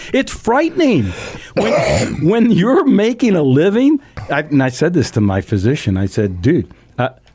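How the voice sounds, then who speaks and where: At a moderate pace, a man speaks with very even loudness. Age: 60s. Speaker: radio talk show host. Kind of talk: casual interview chat. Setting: radio studio. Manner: animated.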